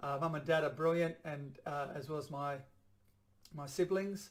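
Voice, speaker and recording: This is a man with an Australian accent. His pitch sits fairly high. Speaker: chiropractor and vlogger. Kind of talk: personal video blog monologue. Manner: halting, stumbles over words; fast.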